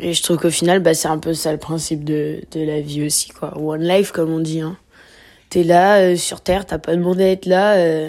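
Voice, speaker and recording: A woman's voice has a dark, mellow tone and a fairly low pitch, delivered with monotone, flat intonation. The recording is very clean, and the background is silent. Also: moderate pace. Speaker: podcast host. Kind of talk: casual monologue.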